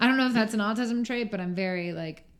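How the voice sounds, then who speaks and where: With noticeable background noise behind her, a woman talks at a very fast pace with ordinary pitch variation. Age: 20s. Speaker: podcast guest, singer-songwriter. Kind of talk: casual chat. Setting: recorded at night in Orlando. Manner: loud.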